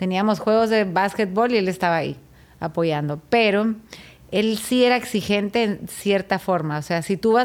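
With lively intonation, a woman talks at a moderate pace in a medium pitch and an ordinary speaking voice. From Guatemala. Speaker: chef. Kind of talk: testimony.

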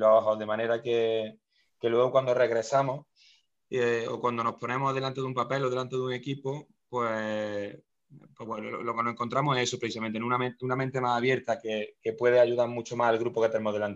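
A man speaks at a fairly quick clip in a medium pitch. His delivery is monotone and flat. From Spain, Córdoba (Andalusia). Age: 30s. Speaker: basketball coach. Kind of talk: interview. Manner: halting, many repetitions.

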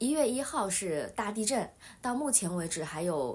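Lively intonation at a fairly slow pace, with audible room echo. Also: woman. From China. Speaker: online Chinese tutor. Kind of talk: casual podcast monologue. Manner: hesitant, frequent fillers.

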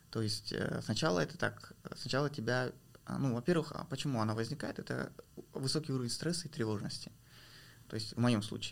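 This man's medium-pitched voice carries vocal fry at a fairly quick pace. He leaves long, frequent pauses. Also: ordinary pitch variation. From Kazakhstan, rural village. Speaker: PR specialist and documentary filmmaker. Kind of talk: interview.

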